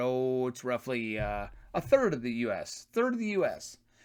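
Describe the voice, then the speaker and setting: This is a very clean recording with a silent background. The speaker is a man. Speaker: political commentary youtuber. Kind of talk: political rant monologue. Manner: fast; combative, mocking.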